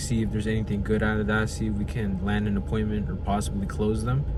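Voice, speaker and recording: A man's very deep, low voice at a very fast pace, with very wide pitch swings and noticeable background noise. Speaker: vlogger. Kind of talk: casual vlog monologue.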